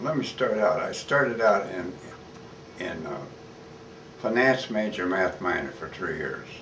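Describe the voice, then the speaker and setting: Over noticeable background noise and audible room echo, a man with a US Midwestern accent speaks at a fairly slow pace in a fairly low pitch, leaving long, frequent pauses. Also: lively intonation. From Kansas, Wichita. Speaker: war veteran. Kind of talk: oral history interview. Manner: halting.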